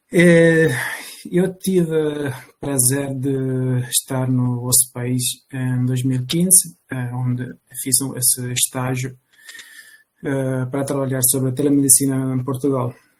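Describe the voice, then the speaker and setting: A man with a non-native accent talks at a very slow pace. His intonation is fairly even, broken by long, frequent pauses. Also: medium pitch for a man. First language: not Portuguese (speaking Portuguese). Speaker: bioethics researcher. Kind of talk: panel discussion. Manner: halting.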